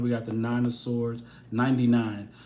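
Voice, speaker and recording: Audible room echo surrounds a man speaking at a moderate pace and a medium pitch. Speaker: tarot reader. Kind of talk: tarot reading monologue.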